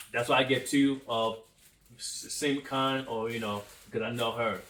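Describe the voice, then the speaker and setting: Fairly even intonation from a man at a medium pitch, noticeable background noise behind him. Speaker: couple vlogger. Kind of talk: casual chat. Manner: halting, with stammered restarts.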